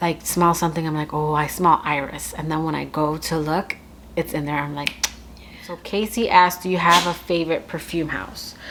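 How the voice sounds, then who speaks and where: Fairly low in pitch, a woman speaks in an American accent with fairly even intonation. Noticeable background noise can be heard. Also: moderate pace. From US Northeast, Connecticut. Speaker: beauty and perfume YouTuber. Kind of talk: casual Q&A chat to camera. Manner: chatty, lots of fillers.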